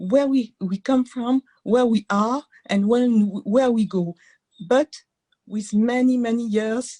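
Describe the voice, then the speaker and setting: A woman with a French accent speaks at a very slow pace with long, frequent pauses, her fairly high, somewhat breathy voice carrying a dark, mellow tone. Her pitch varies in an ordinary way, and the sound is dry and close with no echo. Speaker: entrepreneur. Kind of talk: webinar contribution. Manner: halting.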